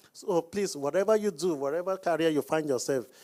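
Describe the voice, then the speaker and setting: Speaking at a moderate pace with a Nigerian accent, a man uses a fairly high pitch and ordinary pitch variation in a very clean recording with a silent background. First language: not English; speaks Hausa, Yoruba. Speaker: business coach. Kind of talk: Q&A panel talk.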